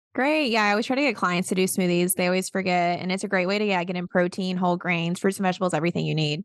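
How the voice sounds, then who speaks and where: Talking at a very fast pace with hardly any pauses, a woman with a Southern accent uses a medium pitch and ordinary pitch variation against a quiet background. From US South, South Carolina. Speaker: podcast host, registered dietitian. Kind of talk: scripted episode intro; casual interview chat.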